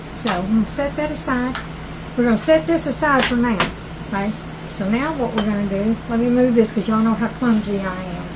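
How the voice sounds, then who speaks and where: A woman's fairly high voice in a Southern US accent, at a moderate pace with ordinary pitch variation, with noticeable background noise and audible room echo. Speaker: cooking channel host. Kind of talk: cooking tutorial. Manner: loud; animated.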